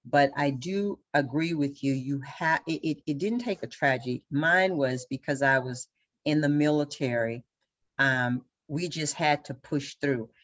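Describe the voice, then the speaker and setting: A woman with a Southern US accent, very deep and low in pitch, at a fairly slow pace with ordinary pitch variation. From Louisiana. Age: 60s. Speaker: local party official, military veteran. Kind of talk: panel discussion.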